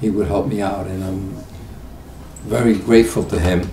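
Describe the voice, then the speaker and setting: A man with a very deep, low voice speaks at a moderate pace with lively intonation over noticeable background noise. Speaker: retired auto mechanic. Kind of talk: interview answer. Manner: hesitant, with fillers.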